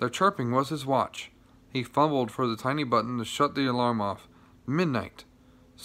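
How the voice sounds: This clip features a natural reading voice.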